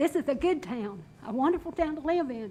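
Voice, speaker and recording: A woman talks at a moderate pace in a Southern US accent. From North Carolina. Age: 70s. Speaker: resident speaking at public comment. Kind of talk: public comment at council meeting. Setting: council chamber. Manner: impassioned.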